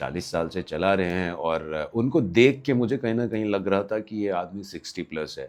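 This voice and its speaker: Against a quiet background, a man with a fairly low voice and lively intonation talks at a moderate pace with hardly any pauses. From Bihar, India. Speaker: vlogger storyteller. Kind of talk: anecdotal storytelling. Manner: casual, with hesitations.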